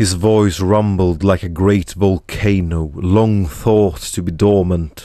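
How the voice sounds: Intonation stays fairly even throughout a natural reading voice.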